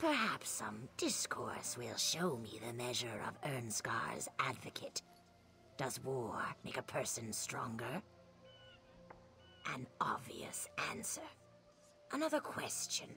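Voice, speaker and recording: Whispering in a put-on character voice at a fairly slow pace, the speaker leaves long, frequent pauses over clear background noise. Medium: video game. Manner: measured, riddling.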